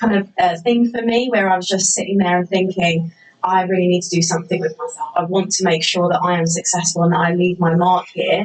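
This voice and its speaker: Noticeable background noise sits behind a woman speaking at a fairly quick pace. Her pitch is medium and varies in an ordinary way. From southeast England. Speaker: teacher, head of year. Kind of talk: interview.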